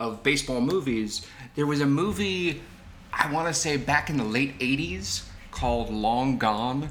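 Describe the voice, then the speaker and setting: A man with a fairly high voice speaks at a fairly slow pace and with lively intonation, with audible room echo and noticeable background noise. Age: 40s. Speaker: podcast co-host. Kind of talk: casual chat.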